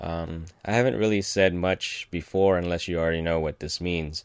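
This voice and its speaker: A man with a very deep, low pitch and ordinary pitch variation is heard on a very clean recording with a silent background. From Philippines, moved to US as child. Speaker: podcast host. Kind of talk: casual monologue. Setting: home recording with microphone. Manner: hesitant, many fillers.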